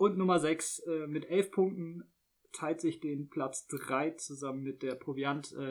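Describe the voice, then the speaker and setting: This man has a fairly high pitch and fairly even intonation, speaking at a very slow pace. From Rhineland-Palatinate, Germany. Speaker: podcast co-host. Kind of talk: casual chat.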